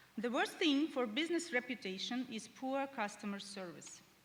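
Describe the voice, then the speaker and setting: A woman is talking. She speaks with a Ukrainian accent. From Ukraine. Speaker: head of support, conference speaker. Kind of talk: conference presentation. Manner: hesitant, many filler sounds.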